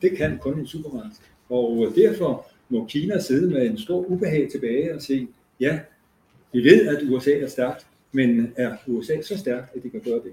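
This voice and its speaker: A man's fairly high, somewhat breathy voice has a dark, mellow tone and lively intonation. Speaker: professor emeritus. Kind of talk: panel presentation; panel discussion.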